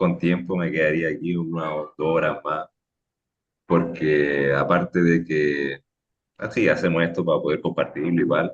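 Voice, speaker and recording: A man talks with a Portuguese accent at a very deep, low pitch. His pace is fairly slow and his intonation monotone and flat. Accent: Portuguese-tinged Spanish. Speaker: podcast co-host. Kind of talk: casual discussion.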